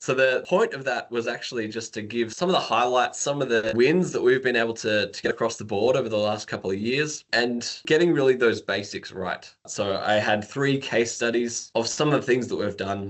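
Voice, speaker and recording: With an Australian accent, a man talks at a moderate pace in a medium pitch with ordinary pitch variation. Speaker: engineering manager. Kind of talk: podcast interview.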